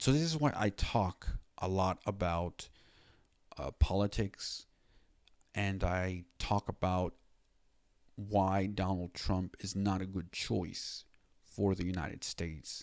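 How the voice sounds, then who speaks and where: Over a very clean recording with a silent background, a man with a very deep, low pitch talks at a very slow pace with long, frequent pauses. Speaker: video blogger. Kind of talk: personal vlog monologue. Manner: stutter; halting with fillers.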